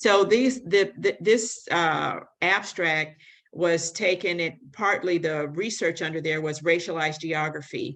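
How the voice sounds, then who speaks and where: A woman's fairly low-pitched, plain, everyday voice with an American accent, at a moderate pace over a quiet background. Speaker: public health advocate. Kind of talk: conference presentation.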